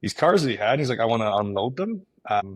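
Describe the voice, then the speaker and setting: Someone mumbles at a very fast pace in a Canadian accent. The recording is very clean, with a silent background. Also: man. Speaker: real estate agent and team leader. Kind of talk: interview. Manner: mumbling.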